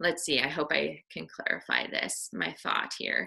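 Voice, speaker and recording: Very slowly, a woman with an American accent speaks in a bright, sharp tone with vocal fry. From US Midwest, Iowa. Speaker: missionary and army veteran. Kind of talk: devotional talk. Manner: halting.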